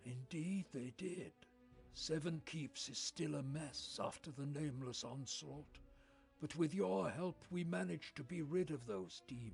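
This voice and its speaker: Doing a put-on character voice at a fairly high pitch, a man speaks at a moderate pace with clear music in the background. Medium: video game. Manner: calm, dignified.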